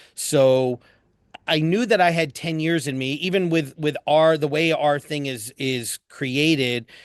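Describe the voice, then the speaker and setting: An American-accented man talks at a fairly slow pace. His pitch varies in an ordinary way. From New Jersey, US East Coast. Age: 50s. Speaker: dentist and educator. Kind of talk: podcast interview. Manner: animated.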